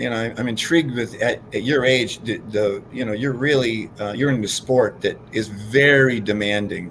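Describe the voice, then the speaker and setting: Man with a normal speaking voice, medium pitch, ordinary pitch variation, moderate pace. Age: 60s. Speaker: fitness co-host. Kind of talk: casual chat.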